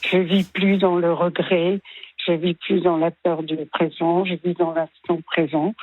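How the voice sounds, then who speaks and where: This woman talks at a very slow pace with monotone, flat intonation. Her voice sits at a fairly low pitch. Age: 80s+. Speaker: retired early childhood educator. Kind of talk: radio interview testimony. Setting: radio broadcast. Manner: hesitant, with many fillers.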